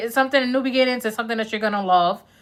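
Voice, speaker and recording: A woman with a New York accent talks at a high pitch with ordinary pitch variation on a very clean recording with a silent background. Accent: Bronx New York. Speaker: tarot reader. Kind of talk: live-stream tarot reading, casual chat. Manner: casual, conversational.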